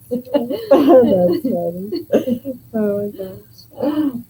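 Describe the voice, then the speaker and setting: With an American accent, a woman speaks at a fairly high pitch with very wide pitch swings. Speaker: yarn business co-owner and livestream co-host. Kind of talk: casual chat.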